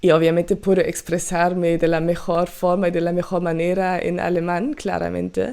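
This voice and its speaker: A woman's fairly low voice with a German accent, monotone and flat, at a moderate pace with hardly any pauses. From Germany. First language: German (speaking Spanish). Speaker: podcast host and music reaction youtuber. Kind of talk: casual podcast monologue. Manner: halting, many fillers.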